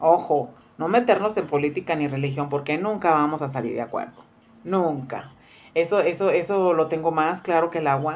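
The speech keeps a moderate pace with ordinary pitch variation. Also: woman, fairly low pitch for a woman. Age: 40s. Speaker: cooking youtuber. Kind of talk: casual vlog introduction. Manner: halting with many fillers. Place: kitchen. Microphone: phone near.

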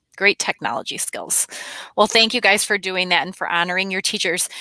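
A woman talks at a fairly quick pace in a bright, sharp tone with fairly even intonation. The sound is dry with no echo, and the background is quiet. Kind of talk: school announcements. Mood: warm and cheerful. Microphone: headset.

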